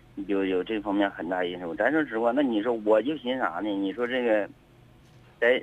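This is a man speaking. His pace is moderate. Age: 30s. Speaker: caller, chauffeur and army veteran. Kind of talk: radio call-in. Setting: phone call.

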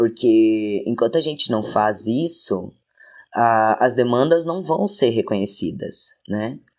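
Against a very clean, silent background, a man speaks at a very slow pace, his medium-pitched voice full of lively intonation. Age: 20s. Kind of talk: casual interview chat.

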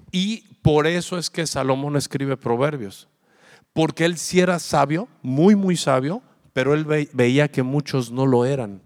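An animated voice with ordinary pitch variation moves at a fairly slow pace in a dry, close sound with no echo. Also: man, fairly high pitch for a man. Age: 40s. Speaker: pastor. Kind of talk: sermon.

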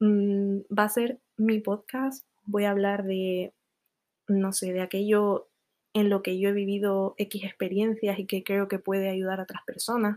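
A woman's medium-pitched voice, dark and mellow in tone, with monotone, flat intonation at a fairly slow pace, on a very clean recording with a silent background. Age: 20s. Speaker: podcaster. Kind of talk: casual monologue.

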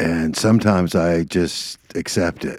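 On a very clean recording with a silent background, a man with a very deep, low voice speaks at a fairly slow pace. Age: 60s. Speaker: podcast co-host. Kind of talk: casual chat.

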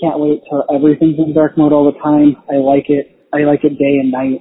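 This man talks at a moderate pace with an American accent, his pitch fairly high for a man. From Pennsylvania. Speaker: listener voicemail caller. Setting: phone voicemail.

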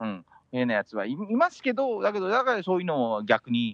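Very broad pitch leaps from a male speaker, set in near silence. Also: dry, close sound with no echo. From Philippines (Manila), Japanese raised abroad. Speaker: professional golfer. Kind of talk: casual chat.

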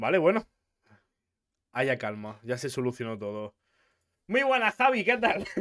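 At a moderate pace and with long, frequent pauses, a man of medium pitch speaks with very wide pitch swings in a very clean recording with a silent background. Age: 20s. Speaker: podcast host. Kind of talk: casual interview.

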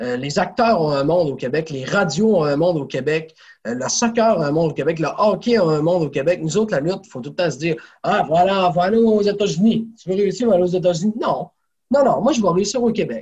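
Lively in intonation, a man talks fairly quickly at a high pitch. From Quebec, Saguenay region (rural). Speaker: professional wrestler. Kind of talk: interview conversation.

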